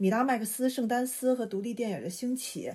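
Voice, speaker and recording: A woman speaks in a high voice. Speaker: art industry professional and podcast host. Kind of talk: casual chat. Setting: remote call.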